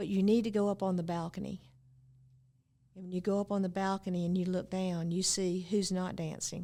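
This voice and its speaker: In a North Carolina accent, a woman speaks fairly quickly at medium pitch, her dark, mellow tone held in a flat monotone. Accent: Southern US (North Carolina). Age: 70s. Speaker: former mayor. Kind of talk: casual interview. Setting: studio.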